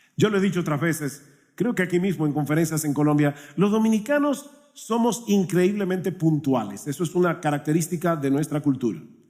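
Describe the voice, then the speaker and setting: A man talks at a fairly quick pace, his voice pitched high for a man and his intonation lively. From Dominican Republic. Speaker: pastor. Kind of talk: sermon.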